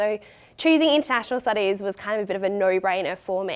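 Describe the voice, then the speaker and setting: A woman's fairly high-pitched voice in an Australian accent. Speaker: recent university graduate. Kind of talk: open day talk.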